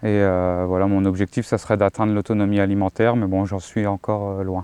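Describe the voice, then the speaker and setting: Recorded dry and close with no echo, a man speaks with a dark, mellow tone, fairly low pitch and monotone, flat intonation. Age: 40s. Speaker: self-employed metalworker and YouTuber. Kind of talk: casual testimony answering questions. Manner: hesitant, many filler sounds.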